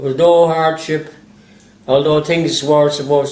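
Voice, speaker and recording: Fairly quick, flat, monotone speech in an Irish accent, with audible room echo and noticeable background noise. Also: man. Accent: Irish (Galway). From Ireland, Galway. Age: 80s+. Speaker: retired local resident. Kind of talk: personal reminiscence. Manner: halting.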